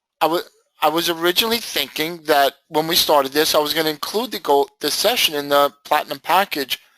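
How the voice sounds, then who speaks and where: A loud man with a fairly high pitch and a bright, sharp tone, lively intonation, a fairly quick pace and a dry, close sound with no echo. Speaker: trading educator. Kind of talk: lecture. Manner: animated.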